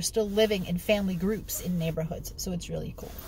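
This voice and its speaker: In an American accent, a woman speaks in an animated tone at a fairly quick pace with ordinary pitch variation. The sound is dry with no echo, over light background noise. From New York City. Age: 50s. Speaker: genealogy hobbyist vlogger. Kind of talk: casual vlog tutorial. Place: car. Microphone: phone near.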